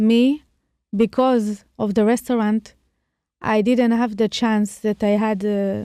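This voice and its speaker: In an Israeli accent, a dark, mellow tone comes at a fairly slow pace with long, frequent pauses, monotone, flat intonation and very even loudness, in a dry, close sound with no echo. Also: woman, fairly high pitch for a woman. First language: Hebrew. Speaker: chef and restaurateur. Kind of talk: casual chat. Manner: halting.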